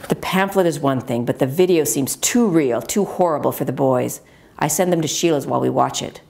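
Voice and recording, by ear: A woman's low, slightly mellow voice with vocal fry, ordinary pitch variation and a fairly quick pace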